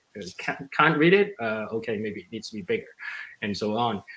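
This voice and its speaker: This man talks at a medium pitch. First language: not English. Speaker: exhibit designer, panelist; panelist. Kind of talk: panel discussion. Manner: halting, many fillers. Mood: relaxed, storytelling. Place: home room. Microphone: video call.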